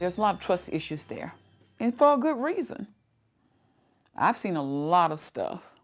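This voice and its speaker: At a moderate pace, a woman speaks at medium pitch in an Alabama accent, on a very clean recording with a silent background. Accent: Alabama Southern US. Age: 60s. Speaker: community advocate. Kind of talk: documentary interview.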